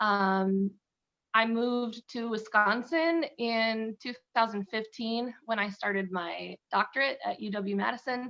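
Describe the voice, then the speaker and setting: A woman with a Midwestern US accent speaks fairly slowly at a fairly high pitch. Her pitch varies in an ordinary way against a quiet background. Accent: US Midwest. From US Midwest, Illinois. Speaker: violist. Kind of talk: interview.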